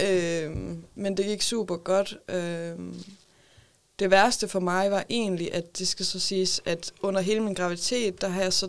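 In a very clean recording with a silent background, a woman speaks very slowly at medium pitch with a monotone, flat intonation. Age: 20s. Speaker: mother with a psychiatric diagnosis. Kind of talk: casual chat. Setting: studio.

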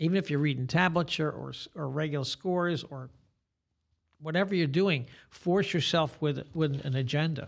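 Someone speaks with an American accent at a moderate pace, with fairly even intonation. The background is quiet. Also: man, fairly high pitch for a man. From Staten Island, New York. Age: 60s. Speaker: guitarist and guitar teacher. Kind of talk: casual interview chat. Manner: talkative.

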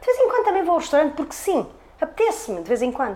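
An animated tone from a woman. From Portugal, Trás-os-Montes. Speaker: hairdresser. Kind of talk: interview.

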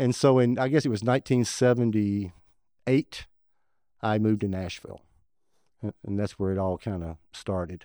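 A dark, mellow tone with a Southern US accent comes through a dry, close sound with no echo on a very clean recording with a silent background. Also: man, fairly low pitch for a man, ordinary pitch variation, moderate pace. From West Tennessee. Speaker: saxophone player. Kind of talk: casual chat.

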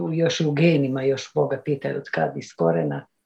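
A somewhat breathy woman's voice with ordinary pitch variation at a moderate pace. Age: 60s. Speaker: caller, grandmother. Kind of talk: casual chat.

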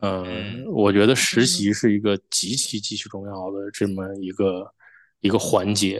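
Here a man talks at a fairly slow pace in a fairly low voice. His intonation is monotone and flat, over a quiet background. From Northeast China (Shenyang, Liaoning), then Toronto from 2002. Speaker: chip design engineer. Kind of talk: podcast interview. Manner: halting, many fillers.

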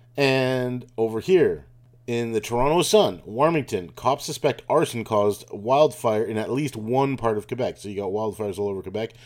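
A man with an unremarkable speaking voice talks at medium pitch with lively intonation. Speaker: podcast host. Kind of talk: angry conspiracy rant, fast-paced tirade accusing government of lies and arson. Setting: informal solo recording while travelling. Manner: sure of itself, sarcastic, scornful tone toward Trudeau and globalists.

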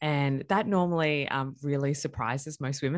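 A woman with an Australian accent, her pitch very deep and low, ordinary pitch variation, a quiet background. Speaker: chiropractor. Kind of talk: interview.

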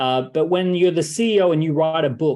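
At a moderate pace, a man talks with an Australian accent. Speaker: entrepreneur and author. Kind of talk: interview.

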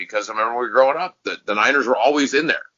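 A man's voice with vocal fry. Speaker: podcast host and performer. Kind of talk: casual chat.

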